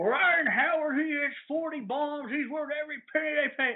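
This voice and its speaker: A man uses a put-on character voice with an extremely high pitch. He talks at a moderate pace. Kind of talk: brash, casual. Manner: mocking.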